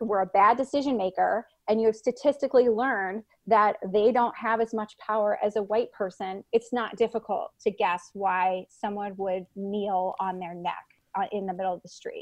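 A woman with an American accent speaks at medium pitch and a moderate pace, with fairly even intonation and an unremarkable speaking voice. The sound is dry and close with no echo, over a quiet background. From Chicago, US Midwest. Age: 30s. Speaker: psychology professor. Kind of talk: interview.

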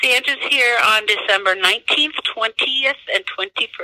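A woman with an ordinary speaking voice, fairly high pitch and ordinary pitch variation, in a dry, close recording with no echo. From US Midwest. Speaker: zoo director. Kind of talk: interview.

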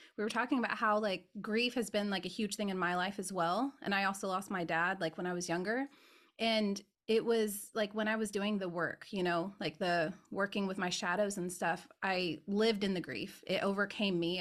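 A woman speaks in an unremarkable speaking voice at a medium pitch and moderate pace. Her intonation is fairly even, and the recording is very clean with a silent background. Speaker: podcast host and spiritual teacher. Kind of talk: casual interview chat.

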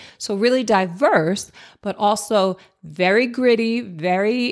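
A woman speaks very slowly with an American accent at a fairly high pitch, on a very clean recording with a silent background. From Jersey City, New Jersey, US. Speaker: podcast host and entrepreneur. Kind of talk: personal storytelling monologue.

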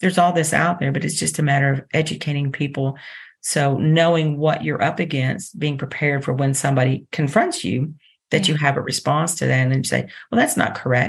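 The voice is somewhat breathy, with a Texan accent, a fairly quick pace, and ordinary pitch variation. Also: woman, very deep, low pitch for a woman. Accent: Texan American. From Texas, Dallas. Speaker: internship program coordinator. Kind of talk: interview.

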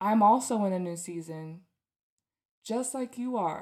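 On a very clean recording with a silent background, a dark, mellow, warm voice moves at a very slow pace with lively intonation. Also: woman. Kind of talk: pep talk with prayer. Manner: warm, earnest, encouraging; emphatic, direct address.

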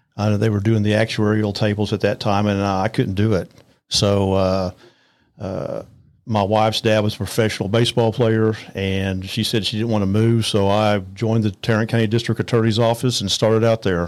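In a Texan accent, a man talks at a fairly quick pace and fairly low pitch with monotone, flat intonation, in a very clean recording over a silent background. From north Texas, Arlington area. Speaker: attorney. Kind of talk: interview.

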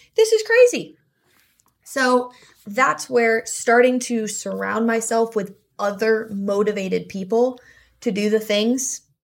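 A woman with an American accent speaks in a plain, everyday voice at a fairly high pitch with ordinary pitch variation, in a very clean recording with a silent background. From US South (South Florida). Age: 20s. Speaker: director of administration at an equine business. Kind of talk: interview.

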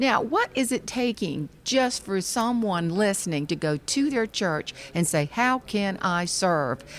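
With a Southern US accent, a woman at a medium pitch talks at a fairly slow pace with very wide pitch swings and hardly any pauses. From Charleston, South Carolina. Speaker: author and speaker. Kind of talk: casual interview chat. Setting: convention hall recording.

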